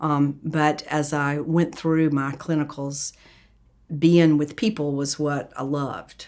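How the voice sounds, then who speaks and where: Very slow delivery in a monotone, flat intonation. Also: woman, very deep, low pitch for a woman. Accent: Southern US. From US South, Atlanta, Georgia. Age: 70s. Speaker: pediatrician. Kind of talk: interview.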